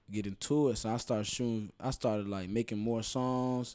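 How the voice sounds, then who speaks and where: The speaker is a man. His voice is at a medium pitch. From Chicago north side (Rogers Park). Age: young. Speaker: rapper. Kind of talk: casual interview chat.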